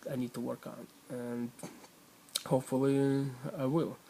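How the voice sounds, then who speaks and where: Monotone, flat intonation in a man's medium-pitched voice. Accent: non-native. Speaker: weight-loss vlogger. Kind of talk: personal video diary. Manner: halting, many fillers.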